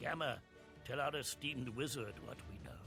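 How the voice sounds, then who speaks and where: Over clear background music, a man performs a put-on character voice. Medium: video game. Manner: measured, grandfatherly.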